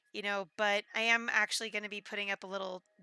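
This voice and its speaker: Bright and sharp in tone, a woman is heard in a very clean recording with a silent background and a dry, close sound with no echo. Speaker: game streamer. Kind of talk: casual live stream chat. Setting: live stream. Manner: loud.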